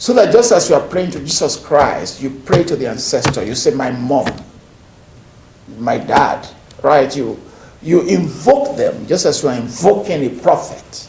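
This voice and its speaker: Amid noticeable background noise and audible room echo, a man with a Nigerian accent talks at a fairly high pitch with very wide pitch swings. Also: moderate pace. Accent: Nigerian (Yoruba) English. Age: 50s. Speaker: professor. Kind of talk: lecture. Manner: repetitive, halting restarts.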